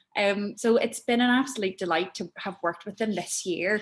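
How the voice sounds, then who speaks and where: A woman with a Northern Irish accent talks at a fairly quick pace and a medium pitch. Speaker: arts producer. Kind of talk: talk to an audience. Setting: network meeting with audience.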